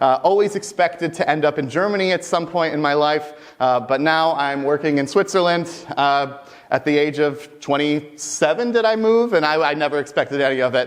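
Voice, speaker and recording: An animated, fairly high male voice at a fairly quick pace, with ordinary pitch variation. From US Midwest, Michigan. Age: 20s. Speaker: mainframe technical specialist, conference speaker. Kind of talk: conference talk. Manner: fast.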